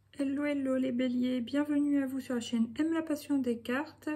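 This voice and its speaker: A woman with a high pitch. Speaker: tarot card reader. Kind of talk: tarot reading. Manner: casual, hesitant with fillers.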